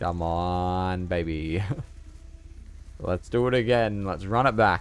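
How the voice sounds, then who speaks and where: A very slow-talking man with a very deep, low pitch, ordinary pitch variation and a slight Australian accent. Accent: subtle Australian. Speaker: video game streamer. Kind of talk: live gameplay commentary. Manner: animated.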